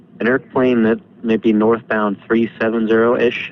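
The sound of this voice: At a fairly slow pace, a man speaks at medium pitch.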